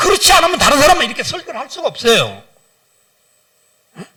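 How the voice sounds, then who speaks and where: A man speaks in an animated tone. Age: 60s. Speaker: guest pastor and businessman. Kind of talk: sermon. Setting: church service.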